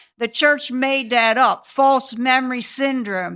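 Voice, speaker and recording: In an American accent, the voice has a bright, sharp tone and fairly even intonation at a fairly slow pace. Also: woman, very clean recording, silent background. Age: 60s. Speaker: abuse survivor and advocate. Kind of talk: interview testimony. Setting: in-person recording.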